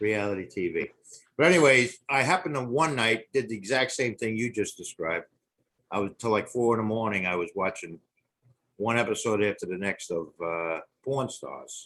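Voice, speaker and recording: A man's animated voice in a New York accent, medium in pitch, at a moderate pace, with lively intonation and a bright, sharp tone. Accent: noticeable New York. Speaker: podcast guest. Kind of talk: casual chat. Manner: animated storytelling.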